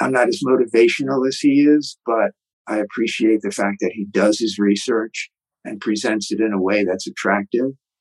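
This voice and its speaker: Here a man speaks in a plain, everyday voice of medium pitch. The sound is dry and close, with no echo. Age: 60s. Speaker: author and retired martial arts teacher. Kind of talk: interview.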